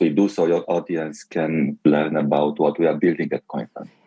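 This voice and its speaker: A man speaks with a Romanian accent. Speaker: tech company executive. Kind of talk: interview.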